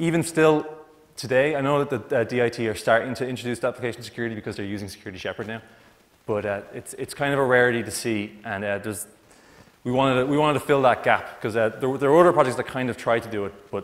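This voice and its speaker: Ordinary pitch variation marks a man's very fast pace of talking. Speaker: conference presenter. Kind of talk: conference talk. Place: hall.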